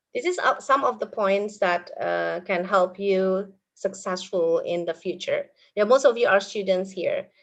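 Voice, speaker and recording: A woman with an Indonesian accent speaks at a fairly slow pace. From Indonesia, Purwokerto area (Banyumas). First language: Indonesian (Banyumas ngapak dialect). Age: 40s. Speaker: English teacher. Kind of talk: webinar talk.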